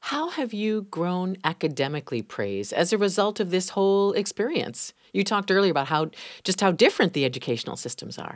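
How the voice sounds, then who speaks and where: A woman at a medium pitch swings her voice very widely, talking fairly quickly with hardly any pauses on a very clean recording with a silent background. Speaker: radio host. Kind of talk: interview.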